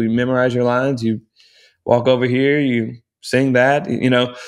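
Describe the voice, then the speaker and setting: A plain, everyday voice comes from a man with an American accent at a medium pitch. He speaks at a moderate pace with ordinary pitch variation. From Texas (Round Rock, near Austin). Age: 20s. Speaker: Broadway actor. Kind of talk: casual interview chat.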